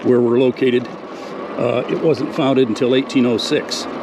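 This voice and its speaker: Someone speaks with an American accent at a moderate pace, with noticeable background noise. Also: man. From US Midwest, Detroit area. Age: 60s. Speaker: army veteran and e-bike vlogger. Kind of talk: casual vlog narration while riding. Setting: outdoors, on an e-bike in a park. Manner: halting, many fillers.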